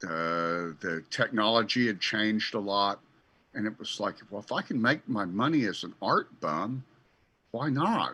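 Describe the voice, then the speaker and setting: A man's fairly low voice, bright and sharp in tone, with lively intonation and a fairly slow pace against a quiet background. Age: 60s. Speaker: church founder and radio host. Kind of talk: casual chat.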